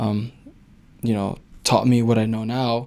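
With an American accent, a man speaks at a medium pitch in a dark, mellow tone with fairly even intonation. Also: very clean recording, silent background. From US. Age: 20s. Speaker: former pro soccer player turned business owner. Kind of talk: casual interview.

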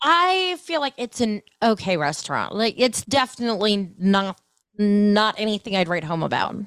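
In an American accent, a woman with a normal speaking voice talks at a moderate pace with lively intonation and fairly high pitch, in a dry, close sound with no echo on a very clean recording with a silent background. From Ohio, US Midwest. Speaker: food podcaster. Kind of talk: casual chat.

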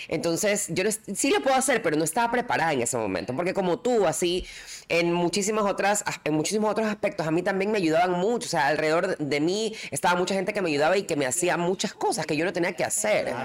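Lively in intonation, a woman speaks at a very fast pace with very even loudness. Noticeable background noise is present. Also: medium pitch for a woman. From coastal Ecuador. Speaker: podcast co-host. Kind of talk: casual chat.

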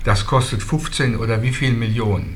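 Noticeable background noise and audible room echo around a man's voice at medium pitch. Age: old. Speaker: local activist. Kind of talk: group discussion.

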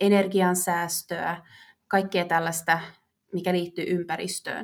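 A woman speaks very slowly at a medium pitch in a very clean recording with a silent background. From Finland, Vaasa. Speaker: marketing manager. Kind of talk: interview.

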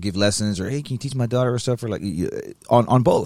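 A man talks at a fairly quick pace in a normal speaking voice with ordinary pitch variation. The recording is very clean, with a silent background. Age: 30s. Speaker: guitarist in band, podcast co-host. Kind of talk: casual chat. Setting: studio.

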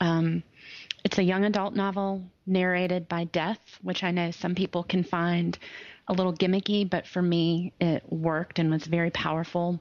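In a Southern US accent, a woman speaks at a fairly low pitch and moderate pace with monotone, flat intonation and very even loudness, the sound dry and close with no echo. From US South. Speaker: attorney. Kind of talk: casual interview chat.

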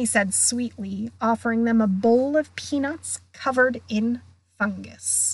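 Someone is heard reading aloud in a natural voice. Pitch moves in an ordinary way.

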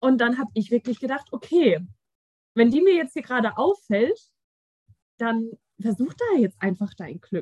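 Her voice high-pitched and swinging very widely, a woman speaks at a moderate pace with long, frequent pauses, in a dry, close sound with no echo. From Germany, Frankfurt. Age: 20s. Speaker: podcast guest, receptionist. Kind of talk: casual chat.

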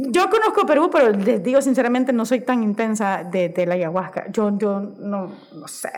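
Over noticeable background noise, a woman with a Honduran accent talks at a moderate pace with hardly any pauses, a fairly high pitch, lively intonation and big swings in loudness. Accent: Honduran Spanish, voseo. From Honduras. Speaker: podcast guest. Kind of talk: casual chat.

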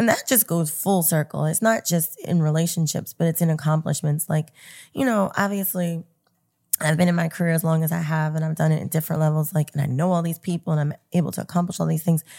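At a very fast pace, a woman speaks with a fairly low pitch, a dark, mellow and somewhat breathy tone and fairly even intonation, on a very clean recording with a silent background. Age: 40s. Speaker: events and media professional. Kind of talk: casual interview chat.

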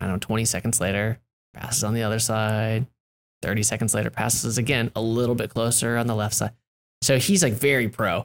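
A man with an American accent talks at a fairly quick pace in a plain, everyday voice. His pitch is medium, and his intonation stays fairly even. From US West Coast. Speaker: author and agency owner. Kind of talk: casual interview.

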